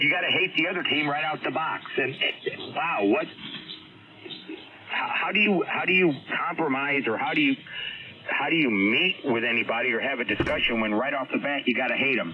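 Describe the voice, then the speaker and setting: A man talks at a fairly quick pace but leaves long, frequent pauses, with noticeable background noise behind him. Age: 60s. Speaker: amateur radio operator. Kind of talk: casual on-air chat.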